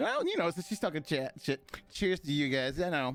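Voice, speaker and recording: With ordinary pitch variation, a man speaks at a fairly quick pace. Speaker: podcast host and streamer. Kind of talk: casual chat. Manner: loud, high energy.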